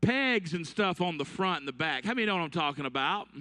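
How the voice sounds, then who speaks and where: A man talks at a fairly quick pace in a raised, projected voice, his tone bright, sharp and animated against a quiet background. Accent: Alabama. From Alabama. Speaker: youth conference speaker. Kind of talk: sermon. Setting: stage with audience. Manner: animated, storytelling.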